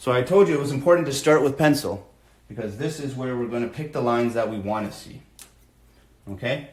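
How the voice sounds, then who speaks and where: A man at a fairly quick pace, medium pitch and ordinary pitch variation, with audible room echo. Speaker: art teacher for kids. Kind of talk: live drawing tutorial. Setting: live stream from home. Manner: fast.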